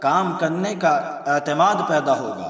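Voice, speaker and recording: A man speaks in a high pitch with ordinary pitch variation. Noticeable background noise can be heard. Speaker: Islamic scholar and teacher at a madrasa. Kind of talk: Islamic sermon (bayan).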